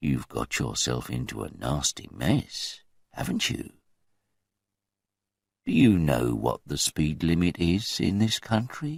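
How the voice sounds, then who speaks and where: In a put-on character voice, the speaker is soft-spoken and moves at a fairly slow pace, with very wide pitch swings and long, frequent pauses. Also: man, very deep, low pitch for a man. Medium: read story. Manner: dangerously soft, mocking.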